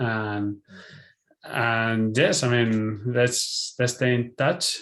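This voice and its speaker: In a Spanish accent, a man speaks at a very slow pace. His intonation is fairly even. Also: medium pitch for a man. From Spain. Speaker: film director. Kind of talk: interview. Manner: halting.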